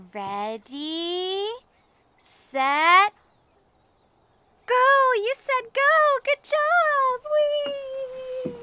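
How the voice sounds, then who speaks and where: Extremely high and bright, sharp in tone, a woman's raised, projected voice sounds upbeat with very wide pitch swings. The sound is dry, with no echo. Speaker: preschool music teacher. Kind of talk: children's educational show host talk. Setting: outdoors. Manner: upbeat, slow, exaggerated and clear for toddlers. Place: garden.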